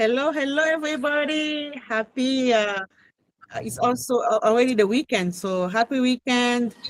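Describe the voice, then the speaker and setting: In a French accent, a woman speaks at a high pitch with ordinary pitch variation. The sound is dry and close, with no echo. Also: moderate pace. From Cameroon. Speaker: online business entrepreneur. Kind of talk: interview testimony. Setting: video call.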